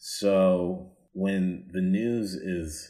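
A man's voice carries audible room echo. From US South. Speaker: comedian. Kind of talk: casual chat. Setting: video call.

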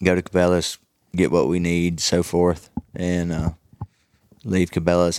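A man's very deep, low voice at a moderate pace. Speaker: outdoor TV show host and bowhunter. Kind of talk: casual chat. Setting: trade show. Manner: animated.

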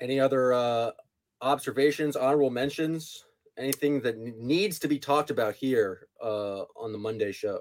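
A man speaks in a plain, everyday voice at a moderate pace. His pitch is medium, with ordinary pitch variation. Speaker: podcast host. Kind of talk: casual chat.

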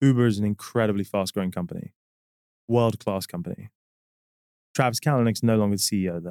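A man with a London accent at a very fast pace, with long, frequent pauses, a fairly low pitch, ordinary pitch variation, and a dry, close sound with no echo. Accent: British English accent, London. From London, England. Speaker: company CEO. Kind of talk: interview conversation. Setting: studio.

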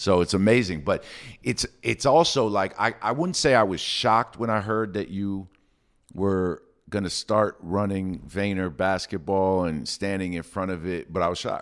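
On a very clean recording with a silent background, a man with a New York accent speaks at a moderate pace and fairly low pitch, with ordinary pitch variation. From New York City. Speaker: podcast host, sports executive. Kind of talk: interview. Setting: studio.

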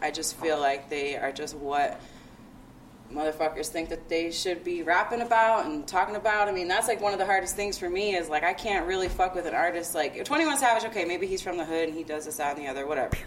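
Over noticeable background noise, a woman with a fairly low voice speaks at a very fast pace with ordinary pitch variation. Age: 30s. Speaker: events marketing consultant and hip hop blogger. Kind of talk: casual chat.

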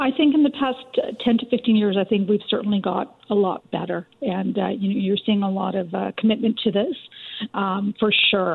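Noticeable background noise surrounds a woman speaking at a medium pitch and a moderate pace with ordinary pitch variation. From Richmond, BC, Canada. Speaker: documentary co-producer and author. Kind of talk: radio interview.

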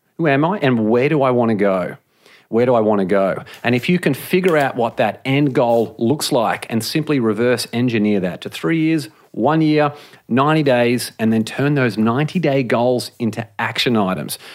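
A man's medium-pitched voice with an Australian accent, very even loudness, ordinary pitch variation and a moderate pace. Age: 30s. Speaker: author and podcaster. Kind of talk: interview.

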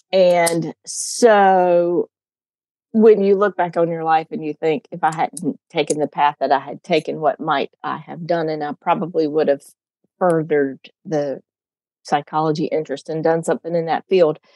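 In a dry, close sound with no echo, the speaker has a dark, mellow tone and an American accent. The pace is fairly slow, with ordinary pitch variation. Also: woman, fairly low pitch for a woman. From North Carolina. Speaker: commercial real estate broker. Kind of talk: coaching conversation.

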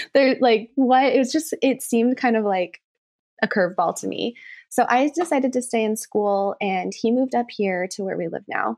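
In a warm, enthusiastic tone, the speaker goes at a moderate pace with ordinary pitch variation, the sound dry and close with no echo against a quiet background. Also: woman, fairly high pitch for a woman. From Reno, Nevada, US West. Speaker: business owner and interior designer. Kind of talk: casual interview chat.

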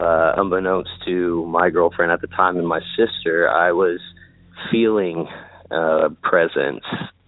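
Speaking with a Midwestern American accent, a man with a very deep, low pitch talks at a fairly slow pace and fairly even intonation. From Indiana, Indianapolis. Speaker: caller. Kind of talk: recorded personal story.

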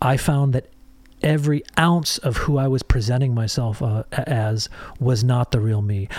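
A man with an American accent talks at a moderate pace, his somewhat breathy voice at a medium pitch with ordinary pitch variation. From US Midwest, Michigan. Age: 50s. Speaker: songwriter and producer. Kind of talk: casual chat.

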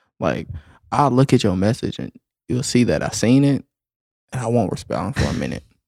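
A man with lively intonation and vocal fry, broken by long, frequent pauses. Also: medium pitch for a man, fairly quick pace. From US South. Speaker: delivery driver. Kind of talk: casual chat.

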